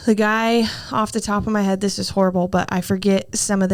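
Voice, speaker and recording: At a fairly quick pace, a woman speaks with a medium pitch. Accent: American. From Southern Oregon. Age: 20s. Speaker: country singer. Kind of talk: interview answer. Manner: casual, funny.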